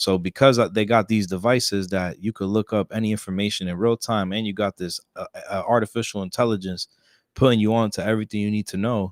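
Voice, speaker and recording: Very fast speech with flat, monotone intonation comes through a dry, close sound with no echo on a very clean recording with a silent background. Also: man, fairly low pitch for a man. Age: 20s. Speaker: musician and poet. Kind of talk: casual interview chat. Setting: studio live stream.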